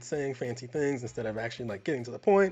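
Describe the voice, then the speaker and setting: A man with an American accent and ordinary pitch variation. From US South. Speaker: film review podcast co-host. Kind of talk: casual chat. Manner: halting, many repeated words.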